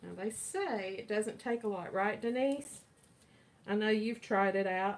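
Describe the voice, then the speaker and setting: With noticeable background noise, a woman with an American accent speaks at a fairly slow pace, her fairly high pitch held in fairly even intonation. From US South (Kentucky and Florida). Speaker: resin artist. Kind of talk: live-stream tutorial. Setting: live video stream. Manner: casual, chatty.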